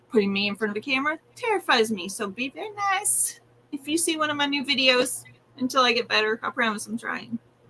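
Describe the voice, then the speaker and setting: Very fast and high-pitched, a woman speaks with very wide pitch swings over noticeable background noise. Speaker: yarn crafts content creator. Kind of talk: casual chat.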